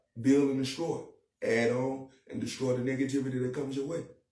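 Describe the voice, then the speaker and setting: A man talks at a very fast pace with a medium pitch. Room echo is audible. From Charlotte, North Carolina. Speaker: rapper. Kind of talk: podcast interview.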